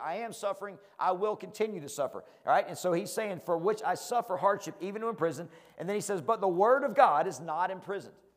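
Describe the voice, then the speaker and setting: A man's high voice in a Southern US accent, very fast, animated in tone and lively in intonation. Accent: Southern country. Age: 40s. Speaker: preacher. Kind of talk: sermon.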